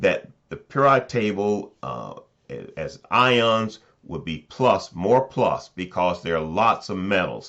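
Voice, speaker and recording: Against a quiet background, a man with a fairly low, fry-edged voice talks very slowly, his intonation lively and his loudness swinging widely. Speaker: chemistry professor. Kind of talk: lecture. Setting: recorded video, looking down at notes.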